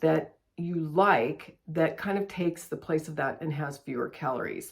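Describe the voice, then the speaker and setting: An unremarkable speaking voice from a woman, fairly low in pitch, at a moderate speed. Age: 60s. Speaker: lifestyle vlogger. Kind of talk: casual tutorial. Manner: conversational.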